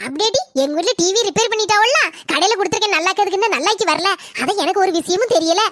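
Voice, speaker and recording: Extremely high-pitched cartoonish character voice from a woman, very fast, with lively intonation and very even loudness. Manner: blunt, argumentative.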